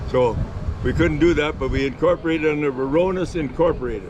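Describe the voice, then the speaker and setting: Talking at a very fast pace, a man uses a fairly high pitch. There is audible room echo and noticeable background noise. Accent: Ontario. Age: 80s+. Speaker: retired race car driver. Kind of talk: casual interview.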